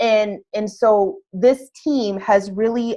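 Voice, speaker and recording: Over a quiet background comes a normal speaking voice with fairly even intonation. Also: woman. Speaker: fitness business coach. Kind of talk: webinar sales presentation. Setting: video call webinar.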